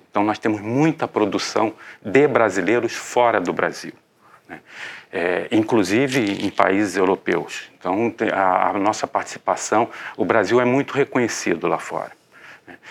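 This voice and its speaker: The voice moves at a fairly slow pace with big swings in loudness. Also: man, fairly low pitch for a man, ordinary pitch variation. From Rio de Janeiro. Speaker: architect and urban planning professor. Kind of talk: interview.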